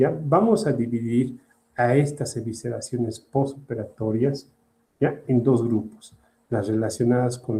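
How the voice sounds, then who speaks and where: A man's voice has a dark, mellow tone and sounds somewhat breathy. He speaks at a fairly slow pace with ordinary pitch variation. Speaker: surgery lecturer. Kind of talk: lecture.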